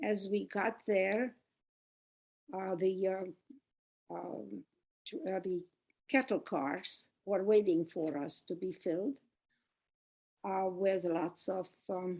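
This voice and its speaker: A woman's medium-pitched voice at a very slow pace, with long, frequent pauses and ordinary pitch variation. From Czechoslovakia, Mukachevo. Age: 90s. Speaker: Holocaust survivor. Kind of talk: testimony. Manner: halting, many fillers.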